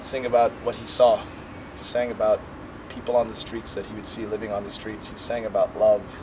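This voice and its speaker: Against noticeable background noise, a man with an American accent speaks fairly quickly at medium pitch in a monotone, flat intonation. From Caribbean (Trinidad), raised mostly in Washington DC. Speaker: musician. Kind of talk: interview. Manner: loud; casual.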